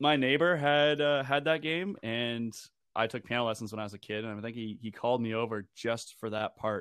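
Using an ordinary speaking voice, a man speaks fairly quickly at a medium pitch, his pitch varying in an ordinary way. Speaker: video game soundtrack expert. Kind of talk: casual chat.

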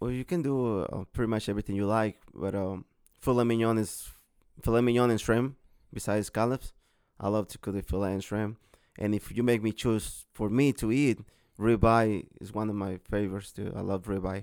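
Recorded very cleanly against a silent background, a man with a Mexican accent talks at a fairly quick pace, his pitch fairly low and his intonation fairly even. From Mexico, Guerrero. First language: Spanish. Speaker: hibachi chef and catering business owner. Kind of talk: casual interview.

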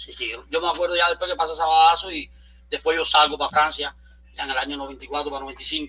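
A man talks in a normal speaking voice, fairly high in pitch. His intonation is fairly even and his pace fairly quick. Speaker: supermarket entrepreneur. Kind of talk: interview conversation.

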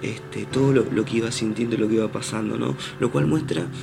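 Through audible room echo and noticeable background noise, a man speaks at a moderate pace and medium pitch with very wide pitch swings. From Argentina, Posadas, Misiones. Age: 20s. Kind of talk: reflective spiritual monologue. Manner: hesitant, frequent repetitions.

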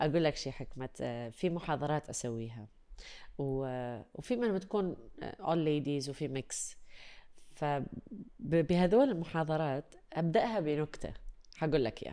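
With a dark, mellow tone and a very deep, low pitch for a woman, she speaks at a fairly slow pace with lively intonation. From UAE. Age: 30s. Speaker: voice-over artist and radio/TV presenter. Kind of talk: casual chat. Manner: animated.

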